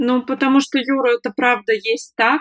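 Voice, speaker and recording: Dry and close, with no echo, the sound carries a woman's voice. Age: 20s. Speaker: freelance online service manager, former fast-food manager. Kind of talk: interview, personal story.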